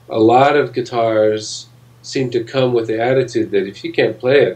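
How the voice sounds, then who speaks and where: Somewhat breathy and medium-pitched, a man talks at a moderate pace with fairly even intonation. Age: 60s. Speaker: guitar maker. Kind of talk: interview. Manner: halting.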